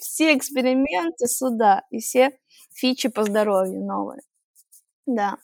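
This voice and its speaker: The speech moves at a fairly slow pace with ordinary pitch variation. The sound is dry and close, with no echo. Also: woman. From Russian Far East, Primorsky Krai. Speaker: podcast guest. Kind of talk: casual interview. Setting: studio.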